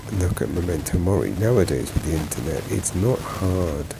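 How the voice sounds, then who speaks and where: Mumbling at a moderate pace, a man with a very deep, low pitch uses lively intonation against noticeable background noise. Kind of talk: travel and health vlog narration. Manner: mumbling, groggy.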